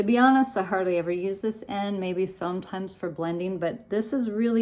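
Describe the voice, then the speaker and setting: Speaking at a medium pitch with ordinary pitch variation, this woman has an ordinary speaking voice. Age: 60s. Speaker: makeup tutorial creator and seller. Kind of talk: tutorial. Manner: casual.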